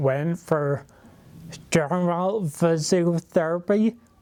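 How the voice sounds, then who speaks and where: Keeping his intonation fairly even, a man talks very slowly. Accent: Derry. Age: 20s. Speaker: person living with a rare neurological condition. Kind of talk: personal testimony. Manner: hesitant, many fillers.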